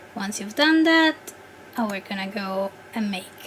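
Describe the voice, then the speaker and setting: A woman with a non-native accent speaks at a fairly high pitch while noticeable background noise runs underneath. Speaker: 3D content creator. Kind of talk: software tutorial voice-over. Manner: hesitant, many filler words.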